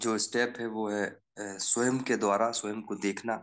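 A man is speaking. The background is quiet. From Seoni, Madhya Pradesh. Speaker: journalist. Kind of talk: personal testimony in online group session.

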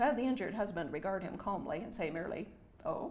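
The voice reads aloud plainly with lively intonation.

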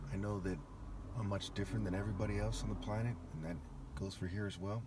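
A man talks in a fairly low, somewhat breathy voice. There is noticeable background noise. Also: dry sound with no echo. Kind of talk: ranting monologue.

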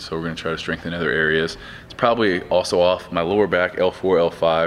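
At a fairly quick pace, a man speaks with a very deep, low pitch and ordinary pitch variation over light background noise. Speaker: gym owner vlogger. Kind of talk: casual vlog chat. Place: gym. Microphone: camera far.

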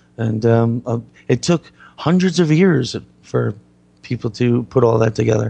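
Somewhat breathy, this voice carries a dark, mellow tone and ordinary pitch variation. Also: man. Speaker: radio host. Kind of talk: casual chat. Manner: halting.

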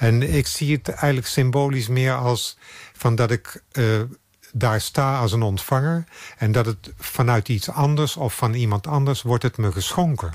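A medium-pitched man, somewhat breathy, at a fairly slow pace with very even loudness and ordinary pitch variation. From Netherlands, Brabant. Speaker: photographer. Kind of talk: interview.

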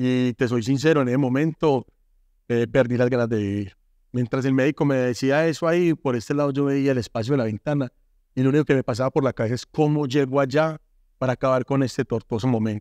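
At a very fast pace, a man speaks with a dark, mellow tone and fairly even intonation, the sound dry with no echo and the background quiet. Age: 40s. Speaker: former gang member turned artist and speaker; speaker. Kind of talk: testimony. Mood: earnest, emotional life story. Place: studio. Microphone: lapel.

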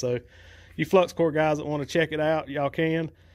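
With a Southern US accent, a man talks at a fairly quick pace in a fairly high pitch on a very clean recording with a silent background. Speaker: welding YouTuber. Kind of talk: tutorial. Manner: casual, folksy.

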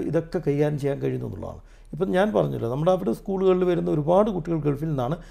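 A man speaks with lively intonation and a dark, mellow tone on a very clean recording with a silent background. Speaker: educator and motivational speaker. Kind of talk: interview.

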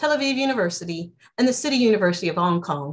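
Very wide pitch swings come at a very fast pace. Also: woman. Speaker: host of a university online seminar. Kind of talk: formal introductory remarks. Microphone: video call.

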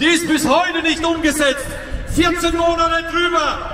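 With audible room echo and light background noise, a man uses a raised, projected voice at an extremely high pitch, speaking at a fairly slow pace in a monotone, flat intonation. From Germany. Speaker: farmer activist; speaker. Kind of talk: rally speech. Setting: outdoor rally stage. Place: street.

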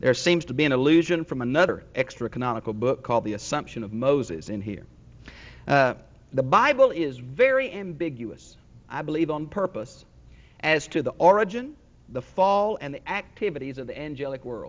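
The loudness of a man's voice varies in big swings. His pace is fairly quick. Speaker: pastor teacher. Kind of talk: sermon. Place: church. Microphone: lapel.

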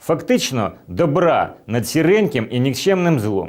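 A man with vocal fry and very wide pitch swings at a fairly slow pace. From Ukraine, Chernihiv. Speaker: election candidate. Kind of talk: campaign address.

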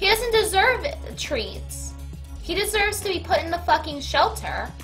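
A woman speaks at a fairly slow pace with faint music in the background. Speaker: livestreamer. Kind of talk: casual stream chat.

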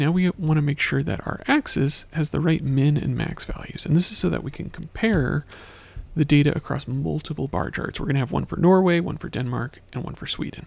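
With ordinary pitch variation, a man speaks fairly quickly in a dry sound with no echo. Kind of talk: tutorial. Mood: calm, soothing tutorial delivery.

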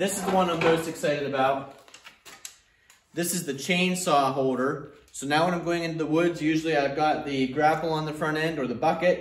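Audible room echo carries a man's voice as he talks at a fairly quick pace. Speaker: tractor owner showing accessories. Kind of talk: product demo talk. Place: garage. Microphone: camera far.

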